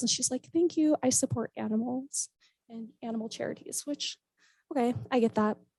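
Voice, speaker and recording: The voice belongs to a woman. It sounds close-miked and dry, without any echo. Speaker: motivational speaker and charity fundraiser. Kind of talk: conference talk. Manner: fast.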